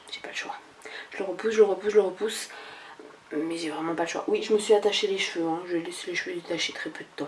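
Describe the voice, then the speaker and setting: With noticeable background noise, a woman of medium pitch talks at a very fast pace using fairly even intonation. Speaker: lifestyle vlogger. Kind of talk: casual vlog monologue. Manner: hesitant, many fillers.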